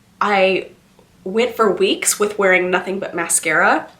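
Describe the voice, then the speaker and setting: A woman speaks over noticeable background noise. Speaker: beauty vlogger. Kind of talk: casual chat.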